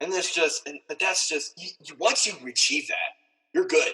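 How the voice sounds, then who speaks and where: A man is speaking. His pace is moderate. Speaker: podcast host. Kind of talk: casual podcast conversation.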